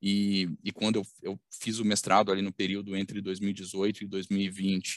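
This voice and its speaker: A man speaks at a fairly low pitch, the sound dry and close with no echo against a quiet background. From Minas Gerais, Brazil (Belo Horizonte). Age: 30s. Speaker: company executive. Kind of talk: interview. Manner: halting, many fillers.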